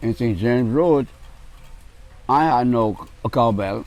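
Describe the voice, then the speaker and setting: In a Bahamian accent, a man speaks at a very slow pace and a medium pitch. His pitch varies in an ordinary way. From Bahamas. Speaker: Junkanoo cowbell player. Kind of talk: interview answer. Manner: charismatic, funny storytelling.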